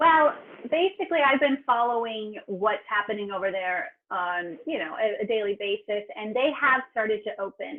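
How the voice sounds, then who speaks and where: A fairly high-pitched woman's voice with lively intonation at a moderate pace. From Southern California, San Diego County. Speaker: TV travel host and producer. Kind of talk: interview.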